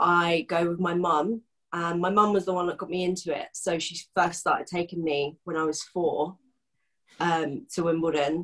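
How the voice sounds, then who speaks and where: With a southern English accent, a woman speaks at a moderate pace. Her pitch is fairly low and her intonation fairly even. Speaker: football fan guest. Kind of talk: casual chat.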